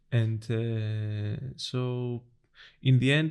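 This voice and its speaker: This man speaks with a Greek accent. His pitch sits in the medium range. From Greece, island of Corfu. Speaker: designer. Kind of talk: casual chat. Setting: in person. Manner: hesitant, many fillers.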